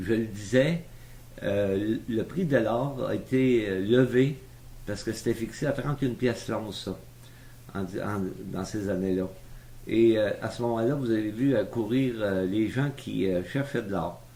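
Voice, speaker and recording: Here a man speaks at a fairly slow pace and a medium pitch in a dark, mellow tone, with ordinary pitch variation and long, frequent pauses. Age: 70s. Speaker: retired businessman telling his life story. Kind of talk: oral history interview. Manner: hesitant, many fillers.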